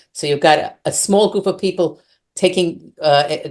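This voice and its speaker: Speaking with an American accent, a woman keeps a moderate pace. Her pitch variation is ordinary. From United States. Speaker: settler community resident. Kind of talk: online interview. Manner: halting, many fillers.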